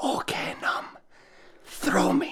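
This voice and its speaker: A put-on character voice, raspy and whispering, carries through the clip. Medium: cartoon. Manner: bossy, impatient, hushed.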